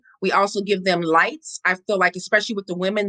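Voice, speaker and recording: Loud and very fast, a woman with an American accent talks in a bright, sharp tone with fairly even intonation, the sound dry and close with no echo. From Compton, Los Angeles, US. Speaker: founder of homeless charity. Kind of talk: interview.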